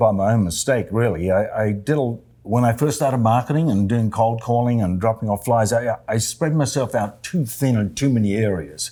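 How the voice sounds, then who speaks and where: With hardly any pauses, a man talks at a fairly quick pace in a medium pitch and a dark, mellow tone, keeping very even loudness and ordinary pitch variation. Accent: Australian. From Australia, Adelaide. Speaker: real estate agent. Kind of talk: interview. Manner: halting.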